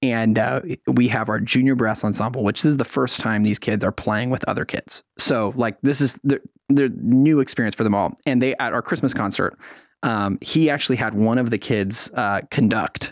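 With an American accent, a man speaks in an unremarkable speaking voice at a moderate pace, with ordinary pitch variation, a quiet background and a dry, close sound with no echo. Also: medium pitch for a man. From San Francisco Bay Area, California. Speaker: youth orchestra executive director. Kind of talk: radio interview.

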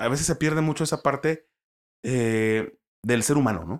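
An unremarkable speaking voice from a man, lively in intonation and moderate in pace, on a very clean recording with a silent background. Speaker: sports commentator. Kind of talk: casual chat.

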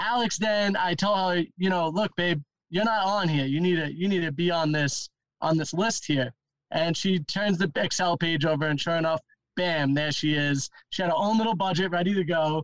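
A man with a New York accent, high-pitched, at a moderate pace with ordinary pitch variation, in a dry, close sound with no echo. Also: very even loudness. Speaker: van life podcaster. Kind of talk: casual chat.

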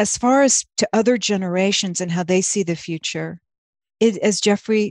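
A woman uses a normal speaking voice at a medium pitch, with ordinary pitch variation and a moderate pace. The sound is dry and close with no echo, and the background is quiet. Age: 50s. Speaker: actress and playwright. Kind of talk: casual chat.

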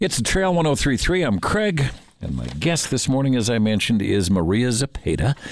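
A man at medium pitch, talking at a fairly quick pace with very wide pitch swings. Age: 60s. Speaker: radio host. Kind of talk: casual radio interview. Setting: radio studio.

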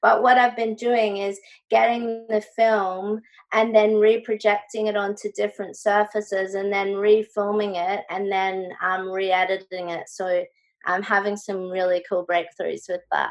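Her intonation monotone and flat, a woman with an Australian accent talks at a fairly slow pace and a medium pitch. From Brisbane, Australia. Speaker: visual artist. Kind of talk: interview.

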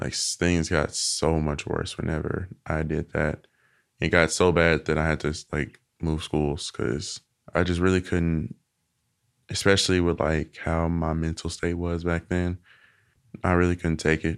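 A man with an American accent, very deep and low, fairly slow and flat in a monotone, on a very clean recording with a silent background. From Arkansas, US South. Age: 20s. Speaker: interviewee sharing personal story. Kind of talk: casual interview.

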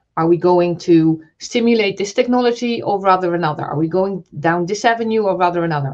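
In a plain, everyday voice, a woman speaks at medium pitch with ordinary pitch variation, a fairly quick pace and hardly any pauses. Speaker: telecoms regulator representative. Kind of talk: panel discussion.

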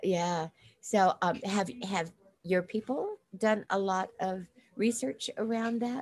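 A woman's somewhat breathy voice moves along at a very slow speed. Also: medium pitch for a woman, ordinary pitch variation. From South Dakota, US (Lakota). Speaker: podcast host. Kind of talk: casual interview.

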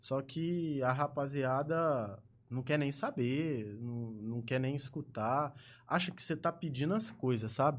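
A man's fairly high-pitched, normal speaking voice with ordinary pitch variation, fairly slow pace and a quiet background. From Ribeirão Preto, São Paulo state, Brazil. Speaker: gaming streamer. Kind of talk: casual interview. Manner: casual, slangy.

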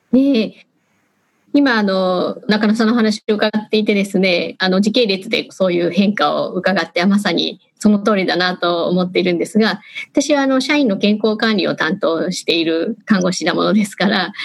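An ordinary speaking voice moves along at a moderate pace, its pitch varying in a normal way. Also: woman, medium pitch for a woman. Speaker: HR manager. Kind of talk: panel discussion. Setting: video call. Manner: formal.

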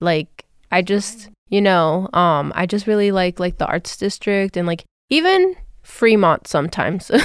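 An ordinary speaking voice with an American accent, fairly slow, with ordinary pitch variation. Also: woman, medium pitch for a woman. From Las Vegas, Nevada. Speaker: podcast co-host, student. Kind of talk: casual chat.

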